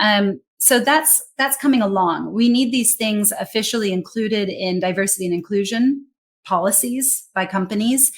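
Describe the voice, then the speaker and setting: A woman with an American accent speaks at a moderate pace in a fairly high pitch. Her voice is somewhat breathy, with lively intonation. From United States. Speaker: global English communication trainer and speaker. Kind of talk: interview conversation.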